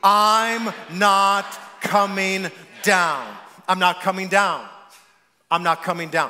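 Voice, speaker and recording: A man's put-on character voice, growling and high-pitched, raised and projected, with monotone, flat intonation at a fairly slow pace. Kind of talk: sermon. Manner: forceful, defiant.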